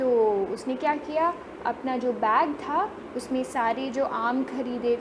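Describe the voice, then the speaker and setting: Behind this woman's high-pitched voice there is noticeable background noise. Her pitch varies in an ordinary way. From Mangalore, Karnataka, India. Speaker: storyteller. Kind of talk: children's story narration.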